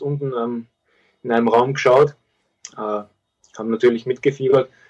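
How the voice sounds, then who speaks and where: A man's voice at a moderate pace. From Austria. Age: 20s. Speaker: professional footballer. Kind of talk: interview.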